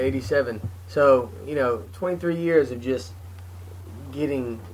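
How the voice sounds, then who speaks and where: A man's medium-pitched voice with very wide pitch swings, at a moderate pace, over noticeable background noise. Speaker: comedian, podcast co-host. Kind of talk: casual podcast talk.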